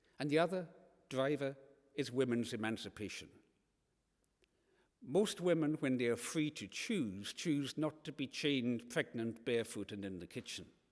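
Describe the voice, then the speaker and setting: The speaker, with a Hebridean accent, uses lively intonation at a moderate pace with long, frequent pauses. The recording is very clean, with a silent background. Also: man, medium pitch for a man. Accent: Scottish Hebridean. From Scotland, Isle of Lewis. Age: 60s. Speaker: environmental campaigner and author. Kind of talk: lecture. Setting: church hall with live audience.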